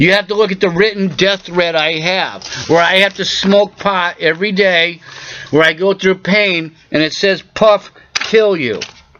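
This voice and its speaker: Over noticeable background noise, a man with a high pitch speaks at a fairly slow pace with fairly even intonation. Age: 40s. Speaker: video blogger. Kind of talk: personal rant to camera. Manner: agitated.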